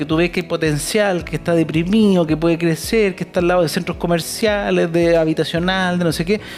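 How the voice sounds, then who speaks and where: A man with a Chilean accent talks at a fairly quick pace over noticeable background noise. His pitch is high and his intonation fairly even. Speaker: real estate investment speaker. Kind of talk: talk to live audience.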